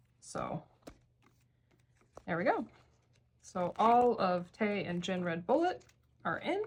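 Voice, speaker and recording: Somewhat breathy, a woman speaks at a very slow pace with lively intonation and long, frequent pauses. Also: medium pitch for a woman. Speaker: K-pop card collector vlogger. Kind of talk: casual hobby tutorial.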